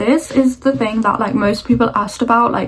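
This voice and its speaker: There is noticeable background noise as a woman speaks with a fairly high pitch. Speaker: lifestyle vlogger. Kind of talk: casual chat. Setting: at home doing makeup. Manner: monotone.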